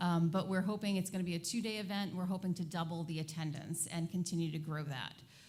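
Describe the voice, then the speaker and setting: A woman with a fairly low pitch talks at a very fast pace. Her voice is somewhat breathy, with fairly even intonation. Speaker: airport commission member. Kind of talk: public meeting presentation. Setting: town meeting.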